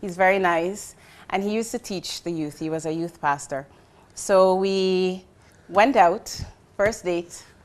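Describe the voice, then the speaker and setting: Speaking with a Jamaican accent, a woman goes at a fairly slow pace with long, frequent pauses. The recording is very clean, with a silent background. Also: medium pitch for a woman, ordinary pitch variation. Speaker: marketing executive. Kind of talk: casual interview chat.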